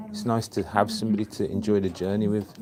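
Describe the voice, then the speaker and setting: In a Birmingham accent, a man speaks against noticeable background noise. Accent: Birmingham (Brummie). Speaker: sewing teacher and tailor. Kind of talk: casual chat. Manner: animated storytelling.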